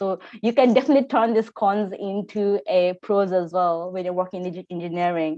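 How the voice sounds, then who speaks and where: In a Nepali accent, a woman talks at a moderate pace and medium pitch with ordinary pitch variation over a quiet background. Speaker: engineer. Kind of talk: panel discussion. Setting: video call. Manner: halting.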